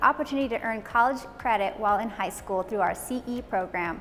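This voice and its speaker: A woman talks at a fairly quick pace with lively intonation. Noticeable background noise runs underneath. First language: Italian. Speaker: school academic dean. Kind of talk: scripted video announcement.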